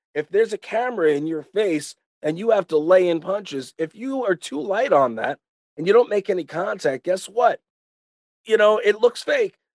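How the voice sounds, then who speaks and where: In a dry, close sound with no echo, a man with a New York accent speaks at a moderate pace with a high pitch and lively intonation. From Long Island, New York. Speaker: retired pro wrestler. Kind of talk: casual chat. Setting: video call.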